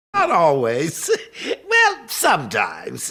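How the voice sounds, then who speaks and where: A put-on character voice with a playful, theatrical tone moves at a fairly slow pace. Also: man. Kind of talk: theatrical villain showmanship. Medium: video game. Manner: mocking, playful, theatrical.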